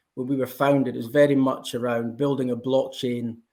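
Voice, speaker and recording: A man's medium-pitched, dark and mellow voice in a Scottish accent, monotone and flat, at a moderate pace. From Scotland. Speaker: blockchain company representative. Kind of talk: panel discussion.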